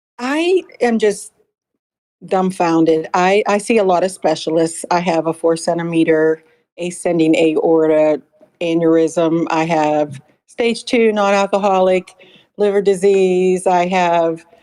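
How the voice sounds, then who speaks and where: A woman has a plain, everyday voice with a fairly low pitch. She talks at a fairly slow pace with very even loudness. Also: ordinary pitch variation. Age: 60s. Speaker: caller. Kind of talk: call-in question.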